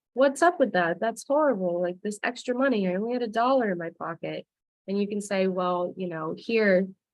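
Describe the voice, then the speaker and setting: Speaking at a fairly quick pace, a woman with an American accent has a medium pitch and ordinary pitch variation. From Delaware, US. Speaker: education outreach presenter. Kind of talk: webinar presentation. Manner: fast.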